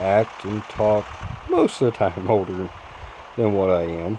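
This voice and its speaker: Through noticeable background noise, a man speaks at a fairly slow pace, fairly low in pitch with fairly even intonation. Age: 20s. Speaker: gaming youtuber and former truck driver. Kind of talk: gameplay commentary with personal talk. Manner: casual, conversational.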